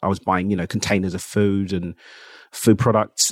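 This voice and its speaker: In a very clean recording with a silent background, a man with a London accent speaks very fast at a fairly low pitch. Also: dry, close sound with no echo. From England. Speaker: entrepreneur. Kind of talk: interview.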